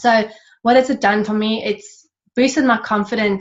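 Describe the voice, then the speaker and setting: Somewhat breathy and fairly high pitched, a woman speaks with an Australian accent and ordinary pitch variation. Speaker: network marketing distributor. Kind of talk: panel interview. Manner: fast.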